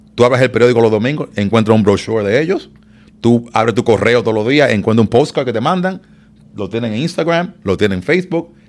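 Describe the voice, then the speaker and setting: A man at medium pitch, very fast pace and lively intonation. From Dominican Republic, Santo Domingo. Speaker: event promoter. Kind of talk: casual chat.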